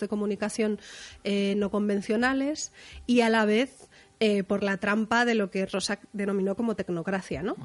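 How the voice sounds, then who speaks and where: A woman with a fairly high pitch, a fairly slow pace and fairly even intonation. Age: 30s. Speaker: music journalist. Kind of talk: casual chat.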